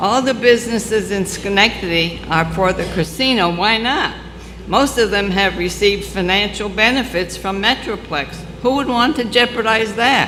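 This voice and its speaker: A woman speaks at a moderate pace and medium pitch with ordinary pitch variation, with noticeable background noise and audible room echo. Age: 90s. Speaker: public commenter, resident. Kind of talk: public comment at city council hearing. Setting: city council meeting. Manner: formal.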